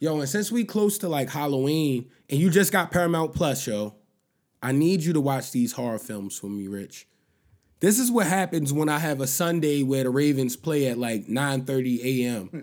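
In a very clean recording with a silent background, a man uses a normal speaking voice, fairly high in pitch, at a moderate pace. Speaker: podcast host. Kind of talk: casual banter. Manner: casual, slangy.

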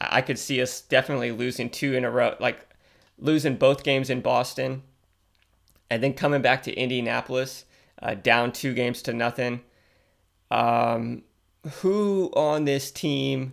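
Moderate pace with long, frequent pauses and ordinary pitch variation, on a very clean recording with a silent background. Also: man, medium pitch for a man. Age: 30s. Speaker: sports podcast host. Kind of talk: casual solo commentary. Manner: halting, many fillers and restarts.

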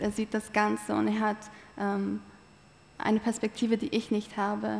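The woman's pitch is fairly high and her intonation monotone and flat. She talks at a moderate pace. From eastern Turkey (Malatya). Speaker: theology student. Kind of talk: interview testimony.

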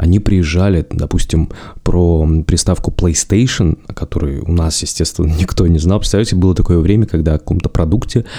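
Pitched very deep and low, a man talks at a fairly quick pace with fairly even intonation. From Russia, Zabaikalsky region (Chita, village). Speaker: podcast host. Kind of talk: solo podcast monologue.

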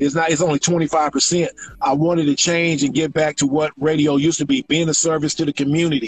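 Talking at a very fast pace, a man with an American accent uses a fairly high pitch and fairly even intonation. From Houston, Texas. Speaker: record promotion executive. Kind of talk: casual interview chat. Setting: Instagram Live video call.

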